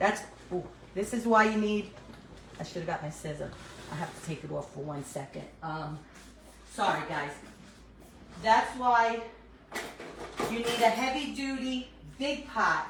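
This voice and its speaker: A woman with a New York accent talks at a fairly slow pace in a fairly high pitch, her voice swinging very widely up and down. Long, frequent pauses break her speech, and the recording carries audible room echo and noticeable background noise. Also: big swings in loudness. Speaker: cooking vlogger. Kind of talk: casual cooking tutorial. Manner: chatty, casual with fillers.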